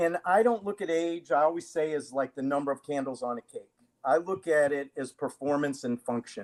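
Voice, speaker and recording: A man with a plain, everyday voice talks at a fairly quick pace in a fairly high pitch, with ordinary pitch variation and a dry, close sound that has no echo. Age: 60s. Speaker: fitness and self-defense trainer. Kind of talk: live-streamed interview.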